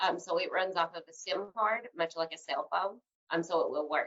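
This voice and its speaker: Speaking in a Tennessee accent, a woman keeps a fairly quick pace with ordinary pitch variation. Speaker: healthcare tech company representative. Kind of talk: webinar Q&A answers. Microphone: cutting out.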